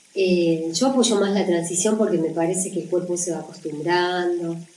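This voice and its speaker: Audible room echo and noticeable background noise surround a woman's fairly low voice. She speaks at a moderate pace with ordinary pitch variation. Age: 60s. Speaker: natural cooking teacher and author. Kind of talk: interview about her book.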